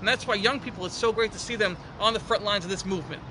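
Noticeable background noise behind a voice with an American accent. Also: man. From New York. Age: 20s. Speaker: county legislator. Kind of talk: interview. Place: garden.

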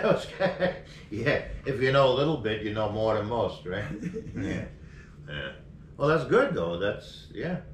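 Speech comes at a fairly slow pace with long, frequent pauses and very wide pitch swings, in a room with audible echo and light background noise. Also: man. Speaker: podcast host. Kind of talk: casual interview questions. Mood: friendly, relaxed, laughing. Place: office.

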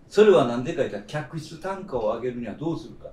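A man talks at a fairly quick pace with ordinary pitch variation, and audible room echo can be heard. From Kyushu, Japan; Japan. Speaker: veteran chef. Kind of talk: roundtable discussion. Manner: long-winded. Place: cafe.

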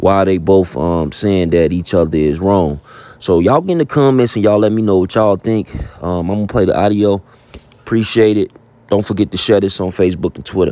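Fairly quick and fairly low-pitched, a man's voice shows ordinary pitch variation in dry sound with no echo. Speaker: host. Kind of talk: casual intro to a hip-hop news clip. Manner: casual, conversational. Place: home room.

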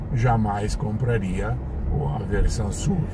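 A fairly slow delivery in an Italian accent, with noticeable background noise. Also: man. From Italy. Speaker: motorsport journalist. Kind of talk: interview answer. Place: car. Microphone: camera far.

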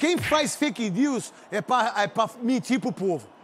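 A man speaks at an extremely high pitch with very wide pitch swings. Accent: Brazilian. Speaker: football pundit. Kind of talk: heated debate.

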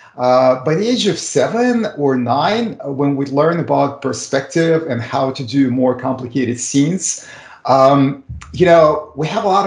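A man's fairly slow speech with audible room echo. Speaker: remote guest. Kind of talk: interview answer. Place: home room. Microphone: video call.

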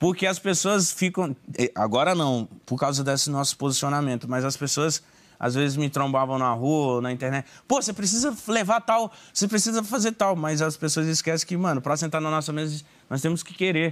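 Lively intonation and a moderate speed from a man whose voice sits fairly high. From Belém, Pará, northern Brazil; Pará, Brazil. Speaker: podcaster. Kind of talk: casual interview chat. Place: studio.

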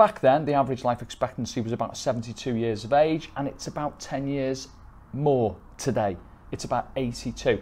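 A man with an English accent speaks at a medium pitch. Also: ordinary pitch variation, moderate pace. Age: 50s. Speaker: wealth manager; presenter. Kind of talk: sales pitch. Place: office. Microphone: lapel.

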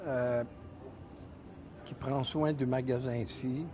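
Over noticeable background noise, a man speaks at a very slow pace in a somewhat breathy voice. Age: 70s. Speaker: ski shop owner. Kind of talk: interview. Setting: studio. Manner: halting. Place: shop.

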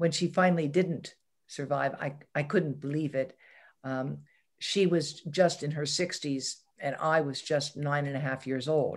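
Against a quiet background, a woman with an American accent speaks at a fairly slow pace in a very deep, low voice. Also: fairly even intonation. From southwestern Pennsylvania, US. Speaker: environmental health scientist; interview guest. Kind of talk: interview. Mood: reflective, personal memories. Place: home room. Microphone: video call.

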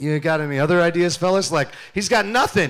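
Against a quiet background, a man talks at a fairly quick pace in an animated tone. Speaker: youth pastor. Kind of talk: sermon. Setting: church stage with audience. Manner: loud. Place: church. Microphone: handheld.

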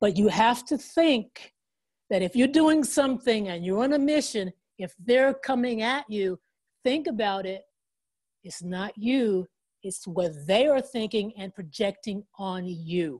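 A woman with an American accent talks at a fairly slow pace in a fairly high, somewhat breathy voice, with an animated tone and lively intonation. Her loudness swings widely over a quiet background. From Oklahoma. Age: 60s. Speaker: motivational speaker and motorcyclist. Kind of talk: motivational talk. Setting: video call. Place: home room. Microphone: earbuds.

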